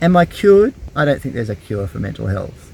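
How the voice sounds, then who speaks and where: Here a man talks with an Australian accent. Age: 50s. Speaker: YouTuber. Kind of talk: personal vlog. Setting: in a camper van. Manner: halting.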